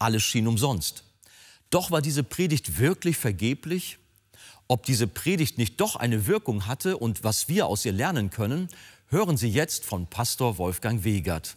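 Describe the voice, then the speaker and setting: A man speaks with very wide pitch swings. His voice is somewhat breathy. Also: medium pitch for a man, fairly slow pace, very clean recording, silent background. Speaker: TV show presenter. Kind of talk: broadcast intro and outro announcements.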